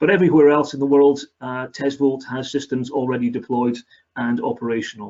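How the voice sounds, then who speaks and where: Speaking at a fairly quick pace, a man shows a fairly high pitch and ordinary pitch variation. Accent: Scottish. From Scotland. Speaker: company area manager. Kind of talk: webinar presentation.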